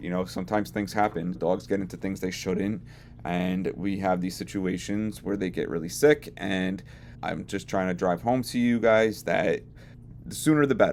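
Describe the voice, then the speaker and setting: Lively intonation at a moderate pace. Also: man, very deep, low pitch for a man. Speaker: veterinary technician. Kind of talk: educational talk to camera.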